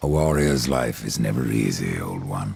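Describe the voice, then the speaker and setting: Put-on character voice from a man, very deep and low, moderately paced. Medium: video game. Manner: terse, cold.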